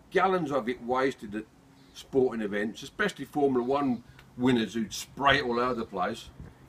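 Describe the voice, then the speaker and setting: With a Birmingham accent, a man talks at a fairly quick pace. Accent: Birmingham (Brummie). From Birmingham, England. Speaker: amateur video maker. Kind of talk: comedic monologue. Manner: jokey, chatty.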